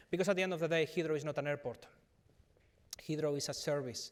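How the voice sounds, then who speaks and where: A man is speaking here. He has a Spanish accent. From Spain, Madrid. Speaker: business executive. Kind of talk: conference panel discussion. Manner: halting, many fillers.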